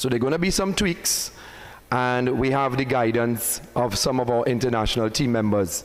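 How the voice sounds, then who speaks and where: A medium-pitched man speaks at a moderate pace with ordinary pitch variation and very even loudness, with audible room echo. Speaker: soca artist and competition organiser. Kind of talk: press conference speech. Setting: live-streamed press conference with audience. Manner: formal.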